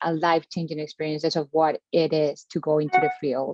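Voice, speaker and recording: A woman's fairly low voice with a Colombian accent. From Caribbean Colombia. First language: Spanish. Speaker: postdoctoral researcher. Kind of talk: panel discussion. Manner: hesitant, many fillers.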